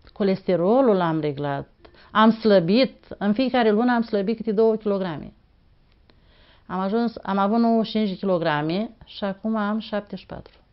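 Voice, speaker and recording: The woman has a medium pitch and ordinary pitch variation, and she speaks at a moderate pace. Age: 60s. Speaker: patient giving testimonial. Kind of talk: testimony. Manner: halting.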